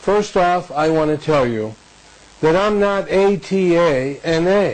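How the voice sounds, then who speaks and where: With an American accent, this voice has lively intonation over noticeable background noise. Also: man. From Detroit, Michigan. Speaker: car salesman, motivational speaker. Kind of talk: motivational talk to camera.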